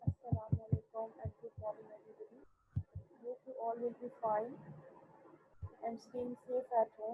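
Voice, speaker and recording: Speaking at a moderate pace, a woman leaves long, frequent pauses, and her loudness swings widely. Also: dry, close sound with no echo. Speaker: school teacher. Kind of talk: online class lecture. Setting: online video class.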